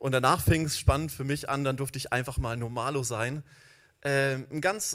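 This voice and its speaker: A man talks in a plain, everyday voice. His pitch is fairly high and his pace moderate. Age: 40s. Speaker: church founder and social worker. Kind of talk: sermon.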